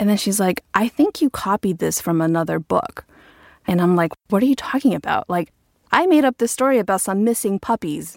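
A woman speaks in an ordinary speaking voice at a medium pitch, with lively intonation, very even loudness and a fairly quick pace, in a dry, close sound with no echo. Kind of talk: casual chat, personal story.

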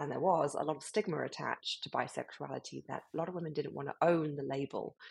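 Speech comes in a British accent at a moderate pace. The pitch varies in an ordinary way. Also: woman. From UK. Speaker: club founder. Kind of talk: interview.

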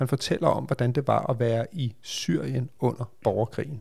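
A man talks at a fairly slow pace. Vocal fry runs through his voice. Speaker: podcast host. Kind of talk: casual chat.

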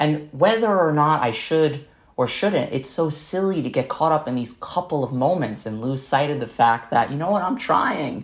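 With an American accent, a man speaks with lively intonation and hardly any pauses. His voice is somewhat breathy. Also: fairly high pitch for a man, moderate pace. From New York City (Staten Island). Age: 30s. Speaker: documentary filmmaker and nonprofit founder. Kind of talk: interview conversation.

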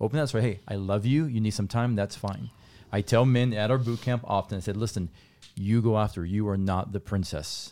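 A man's fairly low-pitched voice with a dark, mellow tone and a Spanish accent, at a fairly quick pace with ordinary pitch variation, in a very clean recording against a silent background. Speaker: marriage ministry speaker. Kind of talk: casual interview conversation.

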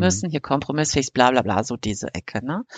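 A woman's voice with vocal fry and very wide pitch swings. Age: 50s. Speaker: podcast co-host. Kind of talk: casual chat.

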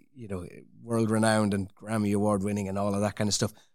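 A man's fairly low voice with an Irish accent, on a very clean recording with a silent background. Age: 40s. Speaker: orchestral percussionist. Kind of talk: casual interview.

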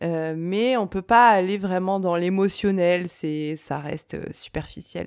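A woman speaks at a very slow pace with medium pitch and ordinary pitch variation, hardly pausing at all, on a very clean recording with a silent background. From France, Reims. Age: 30s. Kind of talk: solo podcast monologue. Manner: cheerful, upbeat.

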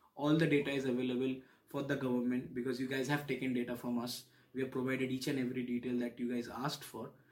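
A man at a medium pitch rattles along at a very fast pace in a flat, monotone delivery. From India, Kolkata. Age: 30s. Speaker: immigrant student. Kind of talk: oral history interview. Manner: halting, frequent fillers and repetitions.

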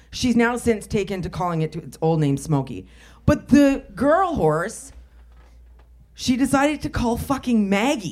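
A woman's fairly high voice with very wide pitch swings, vocal fry and a nervous tone. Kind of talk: live stand-up style banter, rambling comic storytelling to the audience. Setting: stage with live audience. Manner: nervous at first, then rapid, excitable and profane.

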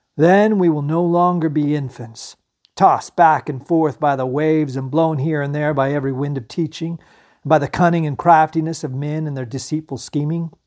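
Over a quiet background, a man has an unremarkable speaking voice with fairly even intonation. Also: fairly high pitch for a man, moderate pace. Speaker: podcast host and Bible teacher. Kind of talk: scripture reading aloud, solemn and devotional, with a spoken prayer at the end. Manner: measured, reverent, steady reading pace.

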